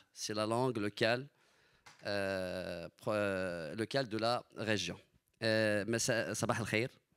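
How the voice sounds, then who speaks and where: A man's fairly low voice, very slow in pace, with fairly even intonation and long, frequent pauses. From Morocco, Marrakech region. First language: Amazigh (speaking French). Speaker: panelist. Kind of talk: panel discussion talk.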